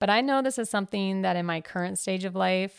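An upbeat, enthusiastic voice with an American accent comes through in a very clean recording over a silent background. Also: woman, dry, close sound with no echo. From US Midwest, rural. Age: 30s. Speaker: podcast host. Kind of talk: personal story monologue.

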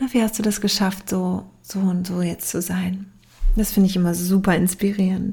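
A woman speaks at a moderate pace in a somewhat breathy, dark and mellow tone. Her intonation stays monotone and flat. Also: medium pitch for a woman. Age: 30s. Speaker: podcast host, yoga teacher and life coach. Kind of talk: solo podcast introduction.

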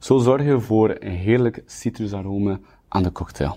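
Against a quiet background, a dark, mellow tone comes through at a moderate pace. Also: man. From Belgium, West Flanders (Kortrijk). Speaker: sommelier and bartender. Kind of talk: tutorial.

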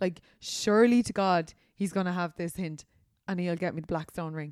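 A woman speaks with a Dublin accent at a medium pitch and a moderate pace. The sound is dry and close, with no echo. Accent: Irish, Dublin. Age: 30s. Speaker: podcast host, influencer. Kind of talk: casual chat.

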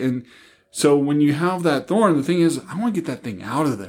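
A man speaks in an ordinary speaking voice, fairly high in pitch, with ordinary pitch variation. The recording is very clean, with a silent background. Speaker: pastor or ministry guest. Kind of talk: casual Bible discussion.

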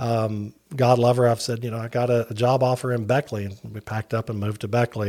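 In a very clean recording with a silent background, a man with an Appalachian accent talks at a moderate pace, his medium pitch and fairly even intonation holding throughout. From West Virginia, Wayne County and Huntington. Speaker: non-profit director, industry spokesperson. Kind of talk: casual interview.

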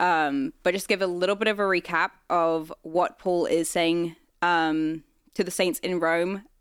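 Recorded very cleanly against a silent background, the speaker talks at a fairly slow pace with a British accent. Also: woman. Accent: British-sounding accent, noticeable. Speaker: church staff, podcast co-host. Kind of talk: casual Bible study discussion.

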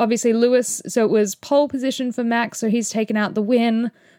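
In a very clean recording with a silent background and a dry, close sound with no echo, a woman with an Australian accent talks in an animated, fairly high voice. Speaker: motorsport podcast host. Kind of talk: solo race review.

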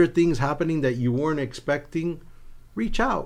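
A plain, everyday voice with an American accent, ordinary pitch variation and a moderate pace. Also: man. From South Florida (Cuban family, via New Jersey). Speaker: college president. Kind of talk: interview. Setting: studio.

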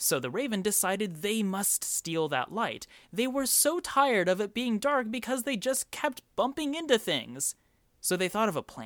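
With an animated, playful tone and very wide pitch swings, a man speaks at a moderate pace in a high pitch, the sound dry and close with no echo in a very clean recording with a silent background. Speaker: podcast host. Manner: animated, playful and conversational, with wry asides and mock disbelief; enthusiastic, warm.

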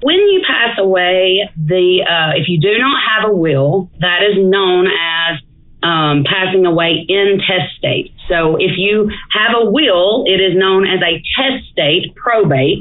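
In an Alabama accent, a woman speaks at a very slow pace and medium pitch, with ordinary pitch variation, very even loudness and noticeable background noise. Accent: Southern US (Alabama). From northeast Alabama, DeKalb County. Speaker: estate planning attorney. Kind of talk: casual interview. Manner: frequent fillers (um, uh).

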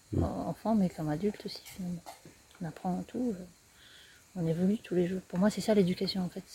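Somewhat breathy and dark, mellow in tone, a woman speaks at a moderate pace in a medium pitch. Her intonation stays fairly even. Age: 40s. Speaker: eco-tourism project founder. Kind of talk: interview. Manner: hesitant.

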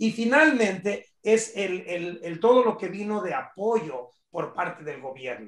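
A man's high-pitched voice at a fairly slow pace with hardly any pauses, very wide pitch swings and big swings in loudness. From Los Angeles, California (born in Michoacán, Mexico). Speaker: real estate professional and public speaker. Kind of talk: interview.

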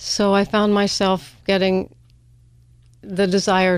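Medium pitch from a woman speaker. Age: 70s. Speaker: artist and professor. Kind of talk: casual interview. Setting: studio.

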